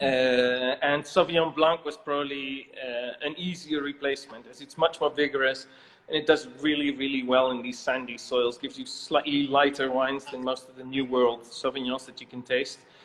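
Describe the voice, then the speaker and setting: A fairly high-pitched man with a Dutch accent, monotone, flat intonation, big swings in loudness and a moderate pace, against noticeable background noise. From Netherlands. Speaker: winemaker. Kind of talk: interview.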